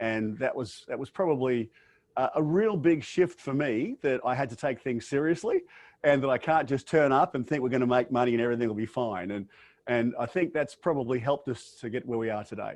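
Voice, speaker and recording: The speaker, with an Australian accent, talks at a fairly quick pace against a quiet background. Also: man, medium pitch for a man, ordinary pitch variation. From Australia, Brisbane, Queensland. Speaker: business owner and professional speaker. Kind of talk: interview. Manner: hesitant fillers.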